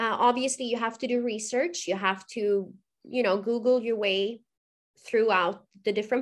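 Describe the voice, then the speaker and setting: In a quiet setting, a woman with a Swedish accent speaks at a moderate pace. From Sweden, Gothenburg. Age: 30s. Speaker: author. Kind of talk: interview.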